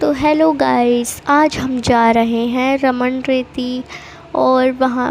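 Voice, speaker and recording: A high-pitched woman's voice, monotone and flat in intonation, over noticeable background noise. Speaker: vlogger. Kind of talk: travel vlog voiceover. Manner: casual, chatty.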